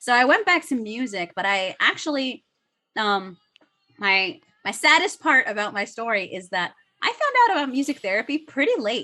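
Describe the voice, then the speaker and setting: A woman with a Spanish accent speaks at a moderate pace. Her high voice has very wide pitch swings. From United States. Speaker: music therapist. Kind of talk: casual interview.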